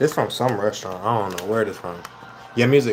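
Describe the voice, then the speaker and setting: A man with an American accent is heard against noticeable background noise. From Minnesota. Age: 20s. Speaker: livestreamer. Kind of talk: casual livestream chat while eating. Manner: fast, hurried.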